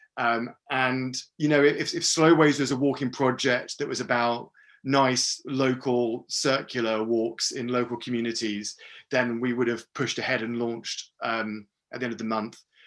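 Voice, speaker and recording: Against a quiet background, a man with a British accent speaks at a medium pitch with fairly even intonation. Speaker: geographer and walking project founder. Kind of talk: webinar presentation. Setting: video call. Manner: fast; hesitant, many fillers.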